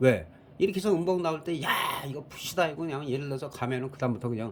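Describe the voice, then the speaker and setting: With vocal fry in his voice, a man speaks at a fairly quick pace. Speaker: stock market commentator. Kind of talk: market analysis talk. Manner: fast.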